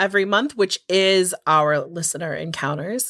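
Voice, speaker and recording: In a very clean recording with a silent background, a woman with a medium pitch speaks at a moderate pace in a plain, everyday voice. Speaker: podcast host. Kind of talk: casual podcast talk. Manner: upbeat, chatty.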